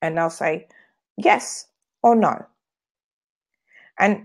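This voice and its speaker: This woman's voice has a medium pitch and ordinary pitch variation. The recording is very clean, and the background is silent. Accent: British. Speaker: sales trainer and business owner. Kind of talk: live video sales training. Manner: fast.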